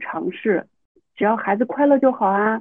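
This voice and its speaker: At a moderate pace, the speaker uses an unremarkable speaking voice with ordinary pitch variation. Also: woman. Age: 30s. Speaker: university teacher and mother. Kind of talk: casual interview.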